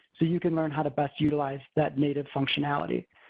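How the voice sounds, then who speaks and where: Music plays in the background as a man speaks at a very fast pace. His intonation stays fairly even. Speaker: software consultant presenting a webinar. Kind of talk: webinar presentation.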